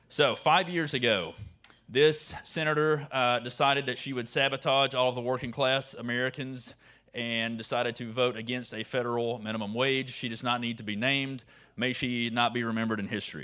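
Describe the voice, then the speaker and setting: A man speaks with a Southern US accent in a bright, sharp tone and fairly even intonation. The recording is very clean, with a silent background. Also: medium pitch for a man. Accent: Southern drawl, long vowels. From North Carolina mountains, rural. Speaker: advocacy organizer. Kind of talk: conference speech. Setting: stage with audience.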